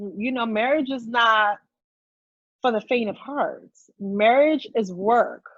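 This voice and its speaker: Long, frequent pauses from a woman talking at a very slow pace. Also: fairly high pitch for a woman, ordinary pitch variation. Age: 30s. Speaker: guest sharing infertility and IVF journey. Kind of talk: casual interview chat.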